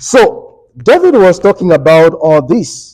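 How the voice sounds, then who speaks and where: Loud and high-pitched, a man's voice carries a dark, mellow tone and very wide pitch swings. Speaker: Bible study teacher. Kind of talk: Bible study lesson. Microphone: speaking without microphone, muted it.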